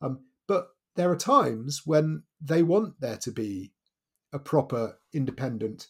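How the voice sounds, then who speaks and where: On a very clean recording with a silent background, a man speaks with a fairly high, somewhat breathy voice and lively intonation. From Wales. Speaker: author and journalist. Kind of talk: interview.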